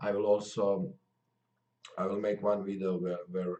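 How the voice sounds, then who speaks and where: A man with a Croatian accent speaks at a fairly low pitch, his pitch rising and falling in an ordinary way. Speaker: MMA commentator. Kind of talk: casual video talk to viewers. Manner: halting, many fillers.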